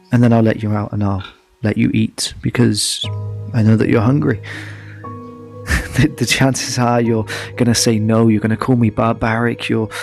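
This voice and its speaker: With music in the background, a man at a medium pitch speaks in a monotone, flat way at a moderate pace, leaving long, frequent pauses. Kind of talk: spoken word poetry. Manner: reflective, questioning.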